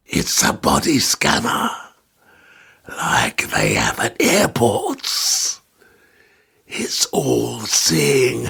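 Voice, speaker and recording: A man speaks in a raspy, put-on character voice at a very slow pace. His loudness stays very even, with long, frequent pauses. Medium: audio drama. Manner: mocking, menacing, laughs at his own remarks.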